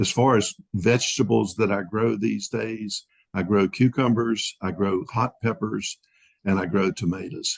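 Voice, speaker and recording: Dry and close with no echo, a man's fairly low voice with vocal fry moves at a fairly slow pace with ordinary pitch variation. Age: 70s. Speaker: grazing specialist. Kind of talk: interview. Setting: podcast.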